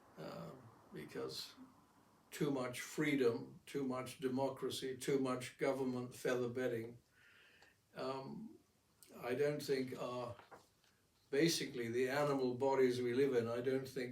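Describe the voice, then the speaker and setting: A man speaks at medium pitch and a fairly slow pace, with fairly even intonation. Long, frequent pauses and audible room echo are present. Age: 80s+. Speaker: amateur painter and philosopher. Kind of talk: casual monologue. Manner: halting.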